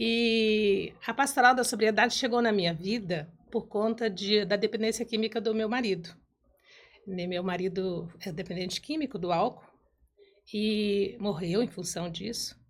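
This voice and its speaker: A plain, everyday voice from a woman at medium pitch, fairly slow, with ordinary pitch variation. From Brazil, Mato Grosso. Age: 60s. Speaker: church ministry coordinator. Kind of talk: testimony.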